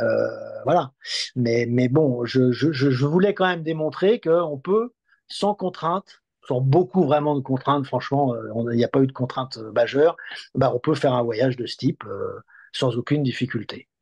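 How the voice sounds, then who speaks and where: Fairly slow speech with ordinary pitch variation over a quiet background. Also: man. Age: 60s. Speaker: electric car test website editor; guest. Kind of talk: interview. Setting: at the guest's home. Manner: halting, many hesitations and repetitions. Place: home room. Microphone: video call.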